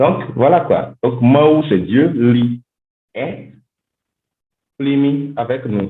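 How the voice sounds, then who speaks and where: A man speaks very slowly at a fairly high pitch, with ordinary pitch variation and long, frequent pauses. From Benin. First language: a Gbe language of Benin (speaking French). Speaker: linguistics doctoral student. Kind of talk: podcast interview. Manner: halting, repeats words.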